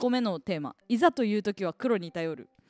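A woman with a plain, everyday voice talks at a fairly quick pace with lively intonation, in a dry, close sound with no echo. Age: 20s. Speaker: radio personality. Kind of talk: casual solo radio talk about a book.

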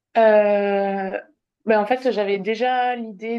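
A woman's medium-pitched voice, fairly even in intonation, at a very slow pace. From southwest France. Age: 20s. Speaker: speech therapist. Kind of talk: personal testimony interview. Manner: halting.

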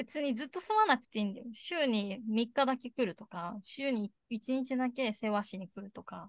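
Dry and close with no echo, a woman's high-pitched voice shows big swings in loudness and ordinary pitch variation at a moderate pace with hardly any pauses. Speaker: podcast co-host. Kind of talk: casual chat.

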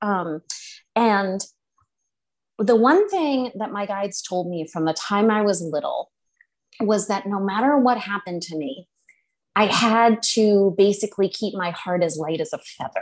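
A woman at medium pitch with an American accent, ordinary pitch variation, a fairly slow pace and long, frequent pauses. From central Massachusetts. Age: 40s. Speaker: psychic and energy healer. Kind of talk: interview.

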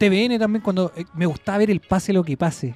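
A man's high-pitched voice with a Chilean accent, lively intonation and a fairly quick pace, in dry, close sound with no echo, over background music. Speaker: podcast co-host. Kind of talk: casual chat. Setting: studio.

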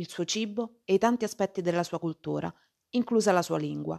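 Recorded dry and close with no echo against a quiet background, a woman with an ordinary speaking voice talks at a fairly quick pace and fairly low pitch. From Rome, Italy. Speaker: Italian language teacher and podcaster. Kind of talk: scripted podcast monologue for language learners. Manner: clear and measured.

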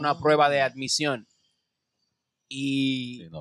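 This man's voice sounds dry and close, without any echo. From Dominican Republic, Santo Domingo. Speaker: comedian and radio host. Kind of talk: casual chat. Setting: studio.

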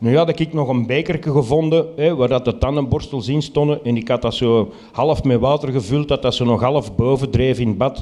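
This man has a normal speaking voice. He keeps a moderate pace with ordinary pitch variation. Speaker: storyteller. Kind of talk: live storytelling. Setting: stage with audience.

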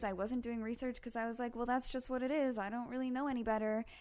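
A woman with a Canadian accent, very fast pace, high pitch and fairly even intonation. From Canada, Toronto. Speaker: guest's partner. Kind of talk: casual chat.

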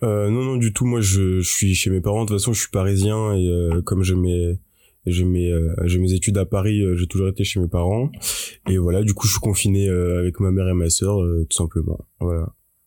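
A man speaks with a very deep, low pitch and a dark, mellow tone at a moderate pace. His intonation is fairly even, his loudness very even, and the recording is very clean with a silent background. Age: 20s. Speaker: university student and youtuber. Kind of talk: interview. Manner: halting.

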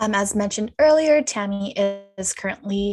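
It is a normal speaking voice. The speech moves moderately. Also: woman. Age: 20s. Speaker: podcast co-host. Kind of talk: scripted podcast introduction.

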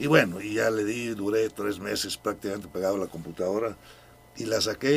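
The man's pitch is fairly low and his pace fairly quick. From Mexico, raised in Durango and Veracruz. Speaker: painter and author. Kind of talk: radio interview. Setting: radio studio. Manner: hesitant, repeats words.

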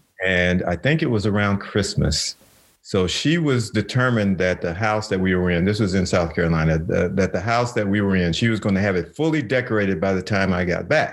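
A man talks at a fairly quick pace with hardly any pauses and very even loudness. His pitch is fairly low, with ordinary variation. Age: 60s. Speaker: retired navy veteran and mediator. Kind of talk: casual interview chat. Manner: halting, many fillers.

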